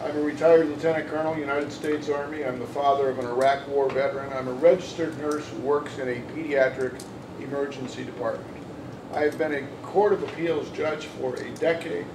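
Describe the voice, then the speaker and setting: Speech comes at a fairly quick pace with fairly even intonation, over noticeable background noise and audible room echo. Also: man, fairly high pitch for a man. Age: 60s. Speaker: judicial candidate. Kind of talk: candidate forum statement. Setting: panel event with audience.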